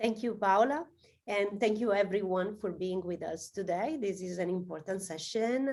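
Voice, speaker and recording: A woman's dark, mellow voice with an Italian accent. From southern Italy. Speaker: AI research director, guest speaker. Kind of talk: webinar talk. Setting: video call.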